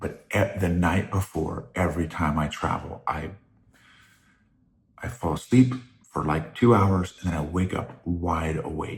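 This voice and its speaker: The speaker is soft-spoken and somewhat breathy, moving at a fairly slow pace with long, frequent pauses and ordinary pitch variation. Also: man, very deep, low pitch for a man. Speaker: podcast host. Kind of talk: casual monologue. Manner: halting.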